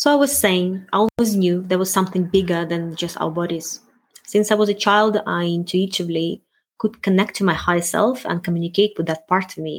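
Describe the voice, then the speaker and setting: A woman speaks fairly quickly with a non-native accent. Her pitch is medium, with ordinary variation. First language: not English. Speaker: self-help podcast host, wellness coach. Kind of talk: solo monologue podcast.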